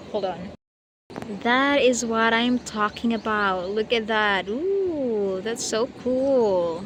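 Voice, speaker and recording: Speaking with a Filipino accent, a woman talks at a very slow pace in a fairly high pitch with ordinary pitch variation. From Philippines, Eastern Visayas (Waray). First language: Waray. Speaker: vlogger. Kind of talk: casual vlog talk to camera. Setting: outdoors at the beach. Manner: halting, hesitant.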